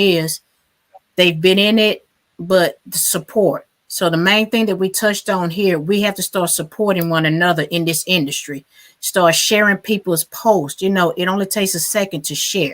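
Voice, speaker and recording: She has an ordinary speaking voice, pitched in the medium range. Her pace is moderate and her intonation fairly even. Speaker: podcast host and DJ. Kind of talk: podcast recap.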